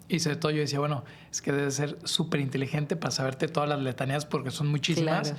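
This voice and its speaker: A man with a Mexican accent speaks at a very fast pace in a monotone, flat intonation. Noticeable background noise is present. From Mexico. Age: 30s. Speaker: podcast creator. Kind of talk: casual chat. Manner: conversational, informal.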